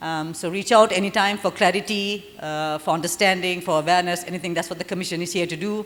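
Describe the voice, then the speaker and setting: Very fast delivery over music in the background, the intonation fairly even. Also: woman. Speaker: government commission representative. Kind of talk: forum presentation and Q&A.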